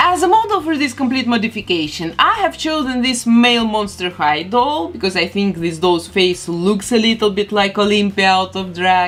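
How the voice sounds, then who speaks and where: A woman's medium-pitched voice with lively intonation at a moderate pace, amid noticeable background noise. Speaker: doll artist. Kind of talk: tutorial.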